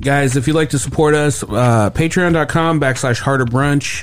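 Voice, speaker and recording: This is a man with an ordinary speaking voice. He talks at a moderate pace with ordinary pitch variation. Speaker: podcast host. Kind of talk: casual comedy podcast chat. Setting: studio.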